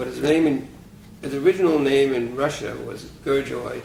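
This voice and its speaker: A man with a New York accent amid noticeable background noise and audible room echo. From New York City, Brooklyn. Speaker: retired physics professor. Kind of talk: oral history interview. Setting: private apartment.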